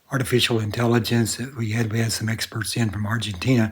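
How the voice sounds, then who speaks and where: At a moderate pace, a man speaks in a flat monotone with a medium pitch and a somewhat breathy voice. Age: 80s+. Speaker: podcaster. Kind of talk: podcast monologue. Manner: halting.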